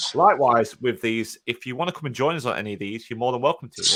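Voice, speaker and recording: A man rattles along at a very fast pace with a British accent. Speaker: podcast co-host, fitness business. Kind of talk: casual chat. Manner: loud.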